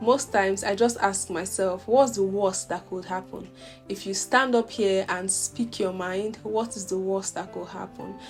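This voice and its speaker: Music plays in the background as a woman speaks. Her pitch is medium and her intonation fairly even. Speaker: medical doctor. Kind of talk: motivational talk to camera.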